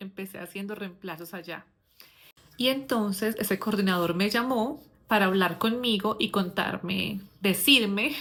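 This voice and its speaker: An ordinary speaking voice from a woman, its pitch rising and falling in an ordinary way. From Colombia. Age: 40s. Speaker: English teacher. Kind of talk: personal storytelling. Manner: casual, with filler words.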